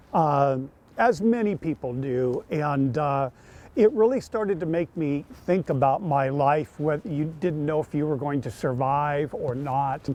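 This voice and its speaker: Ordinary pitch variation runs through what is a normal speaking voice. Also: man, fairly high pitch for a man. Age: 60s. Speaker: long-distance walker, cancer survivor. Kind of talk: interview.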